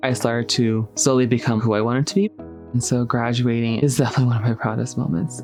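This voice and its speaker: With an American accent, a man speaks at a very fast pace in a medium pitch. His pitch varies in an ordinary way, and music plays in the background. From Navajo Nation, Arizona. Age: 20s. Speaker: scholar. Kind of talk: documentary interview.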